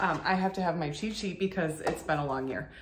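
A woman speaks with a bright, sharp tone. Audible room echo surrounds her voice. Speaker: burlesque performer vlogger. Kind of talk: casual vlog chat. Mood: upbeat, chatty. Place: home room.

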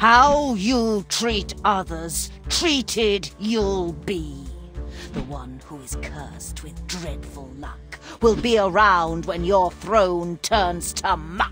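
Clear music plays in the background as someone uses a put-on character voice at a very slow pace. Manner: sinister, sing-song rhyming.

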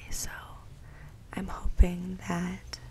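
A soft-spoken woman whispering, over light background noise. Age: 20s. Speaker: ASMR content creator. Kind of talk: ASMR rambling to camera. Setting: home recording, condenser mic. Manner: whispered, soft-spoken. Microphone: studio mic.

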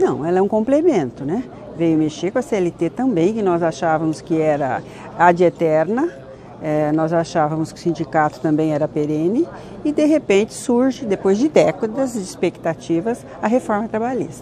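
A woman talks at a fairly low pitch and a moderate pace. Light background noise sits behind her. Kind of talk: interview answer. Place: hall.

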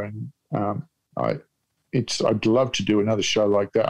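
A man with an Australian accent talks at a fairly low pitch. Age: 60s. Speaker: comedian. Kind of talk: casual chat. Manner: deadpan.

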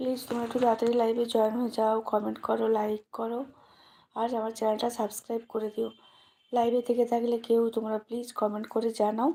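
A woman with a fairly high pitch talks in a monotone, flat intonation. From West Bengal, Paschim Medinipur. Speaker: village life vlogger. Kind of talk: casual live stream chat.

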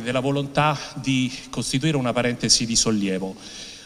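At a moderate pace, a man is talking. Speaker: heritage official. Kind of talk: formal speech. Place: hall. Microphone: podium.

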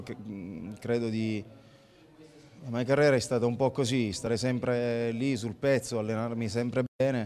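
A man speaks at a moderate pace and a medium pitch, with fairly even intonation. Light background noise can be heard. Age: 30s. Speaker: professional footballer. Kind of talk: post-match interview. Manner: halting, many fillers and repetitions. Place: stadium. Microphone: handheld.

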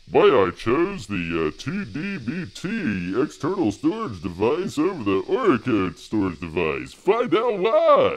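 A man's put-on character voice, fairly high in pitch, at a fairly slow pace with hardly any pauses. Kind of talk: sensational. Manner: hyped, exaggerated.

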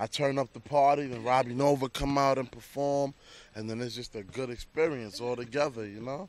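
The sound is dry, with no echo, as a man with an American accent talks. His pace is fairly quick and his intonation fairly even. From Queens, New York; Dominican family. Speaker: club DJ. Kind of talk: casual interview. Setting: outdoors. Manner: laid-back, laughs often. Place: street. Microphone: handheld.

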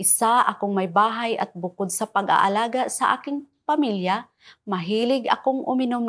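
An unremarkable speaking voice with ordinary pitch variation at a moderate pace. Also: woman. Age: 50s. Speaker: product testimonial giver. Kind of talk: scripted testimony.

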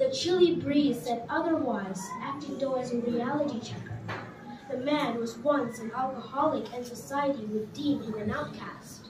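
Her voice is high, and a woman speaks in a solemn tone at a moderate pace with ordinary pitch variation. Room echo and noticeable background noise can be heard. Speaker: poet. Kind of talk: poetry reading. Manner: solemn, reflective, measured; tender, emotive, with pauses. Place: hall.

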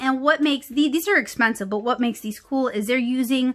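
A woman with an American accent, high in pitch, with lively intonation and a very fast pace over a quiet background. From New Orleans area, US South. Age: 30s. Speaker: comic artist and art supply YouTuber; comic artist, art supply YouTuber. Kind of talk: casual haul video talk to camera. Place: home room.

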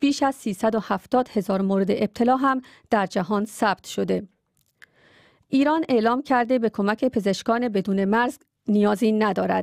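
A woman at a moderate pace with ordinary pitch variation, recorded dry with no echo against a quiet background. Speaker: radio newsreader. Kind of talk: news reading. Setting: studio. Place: studio.

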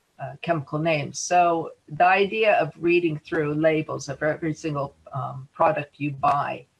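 A woman's voice with vocal fry, a moderate pace and ordinary pitch variation. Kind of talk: webinar presentation. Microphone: video call.

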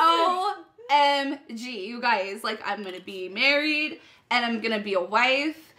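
Very wide pitch swings in a woman's raised, projected voice. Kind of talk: scripted comedic dialogue. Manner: tipsy, rambling bride at party. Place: home room.

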